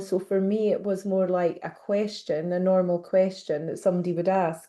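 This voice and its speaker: A woman with a slight Scottish accent, medium in pitch, dark and mellow in tone, at a moderate pace against a quiet background. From Scotland. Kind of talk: interview.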